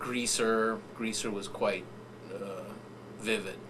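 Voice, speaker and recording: A man with an American accent talks at a fairly slow pace and medium pitch. Noticeable background noise and audible room echo fill the recording. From US-Mexico border, San Diego. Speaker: writer and professor. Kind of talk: interview storytelling.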